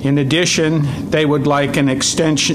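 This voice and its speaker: With noticeable background noise behind him, a man's intonation stays monotone and flat. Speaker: wildlife agency staff presenting regulations. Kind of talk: public meeting presentation. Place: meeting room. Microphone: podium.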